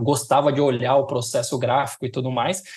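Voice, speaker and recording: Somewhat breathy, the man speaks at a medium pitch. His intonation stays fairly even. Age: 30s. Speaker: design director. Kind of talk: casual interview chat. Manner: halting, many fillers and repetitions.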